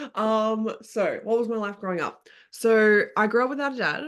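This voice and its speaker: At a moderate pace, a woman speaks. The background stays quiet. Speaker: podcast guest. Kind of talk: casual chat.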